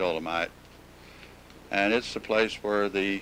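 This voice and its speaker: A man is speaking. Music plays in the background. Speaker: home movie narrator. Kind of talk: home movie narration.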